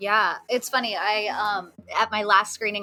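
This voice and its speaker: With a Southern California accent, this voice has a bright, sharp tone and moves at a moderate pace. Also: woman. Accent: Valley Girl. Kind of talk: casual, uses "like" often.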